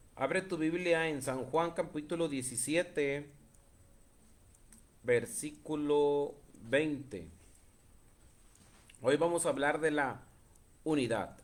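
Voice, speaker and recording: With audible room echo, a man speaks at a very slow pace in a fairly high pitch, showing ordinary pitch variation and long, frequent pauses. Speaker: preacher. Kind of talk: sermon. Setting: live stream.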